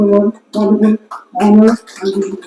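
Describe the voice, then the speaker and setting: Dry and close with no echo, a man talks at a high pitch with a dark, mellow tone. His intonation is monotone and flat. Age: 70s. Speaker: filmmaker and historian. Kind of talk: event speech.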